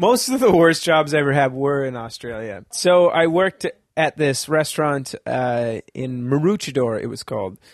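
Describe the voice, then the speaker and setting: A man with an unremarkable speaking voice, fairly high in pitch, talks at a moderate pace with hardly any pauses and lively intonation. The sound is dry and close, with no echo. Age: 30s. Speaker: comedian. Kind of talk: casual chat.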